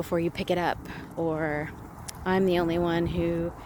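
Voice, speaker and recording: A woman speaks in a fairly low voice with flat, monotone intonation over noticeable background noise. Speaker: psychic medium. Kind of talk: casual talk to camera.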